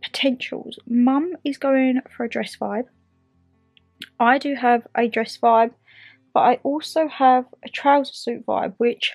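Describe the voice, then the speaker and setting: A woman speaks in a high voice at a fairly slow pace, her intonation fairly even. She leaves long, frequent pauses, with faint music playing behind her. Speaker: vlogger. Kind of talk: casual vlog chat. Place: home room. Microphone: phone near.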